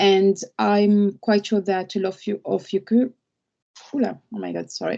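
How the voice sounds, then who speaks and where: At a moderate pace, a woman speaks with a French accent. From France. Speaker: lawyer. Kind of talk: webinar talk. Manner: halting, with fillers and repeats.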